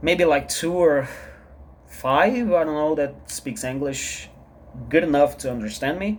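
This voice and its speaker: With a Portuguese accent, the speaker goes at a fairly slow pace, with ordinary pitch variation and long, frequent pauses. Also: man, fairly high pitch for a man. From Brazil. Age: 30s. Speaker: vlogger, artist. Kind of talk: personal vlog monologue. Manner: halting, repetitive.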